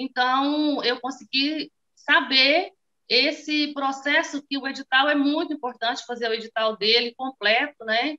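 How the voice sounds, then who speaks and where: A woman speaks at a fairly slow pace in a raised, projected voice with a high pitch. Her tone is bright and sharp, and the background is quiet. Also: fairly even intonation. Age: 40s. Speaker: small business owner, course student. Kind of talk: testimony. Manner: halting, many fillers. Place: home room. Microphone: phone near.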